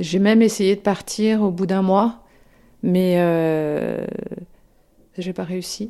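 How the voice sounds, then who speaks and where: A woman speaks very slowly at a medium pitch, with long, frequent pauses. Her tone is dark and mellow, and her intonation stays fairly even. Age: 40s. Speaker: former therapy patient. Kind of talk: testimony. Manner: halting.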